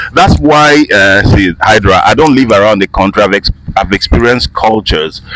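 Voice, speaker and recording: A man with a fairly low pitch speaks at a moderate pace with lively intonation and very even loudness, the sound dry and close with no echo but carrying noticeable background noise. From Nigeria, Igbo from Imo State. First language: Igbo. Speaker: voice-over artist and actor. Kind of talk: casual interview. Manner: animated.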